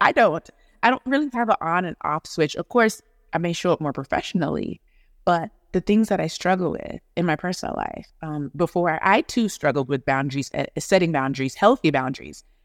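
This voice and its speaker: Talking at a fairly quick pace, a woman uses a fairly low pitch with very wide pitch swings. The recording is very clean, with a silent background and a dry, close sound with no echo. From Atlanta, Georgia (born in Jamaica). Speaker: pediatric dentist. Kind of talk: podcast interview.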